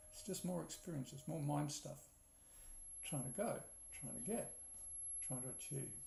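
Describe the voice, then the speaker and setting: A man at a moderate pace, with long, frequent pauses and audible room echo. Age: 60s. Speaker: spiritual teacher. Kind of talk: spiritual talk. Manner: repetitive, reflective.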